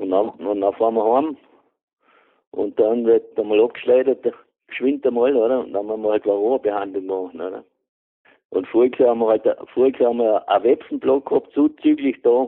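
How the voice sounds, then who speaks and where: Long, frequent pauses break up a man's fairly quick delivery in a Vorarlberg accent. His pitch is medium and his intonation fairly even. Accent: Vorarlberg Alemannic German. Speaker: retired beekeeper. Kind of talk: casual chat.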